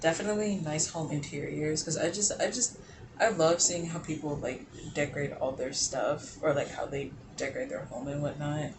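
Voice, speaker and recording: A man's fairly high-pitched voice at a moderate pace, with ordinary pitch variation and noticeable background noise. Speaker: lifestyle vlogger. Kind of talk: casual chat.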